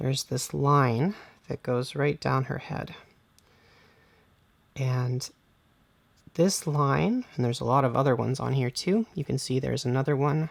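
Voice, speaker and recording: Delivery is fairly slow, with long, frequent pauses. The recording is very clean, with a silent background. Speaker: hobby painting instructor. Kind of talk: tutorial.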